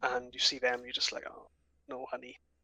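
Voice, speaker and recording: This man speaks with a strong Welsh accent. The sound is dry and close, with no echo. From Wales, the valleys. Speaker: podcast co-host. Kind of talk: casual chat.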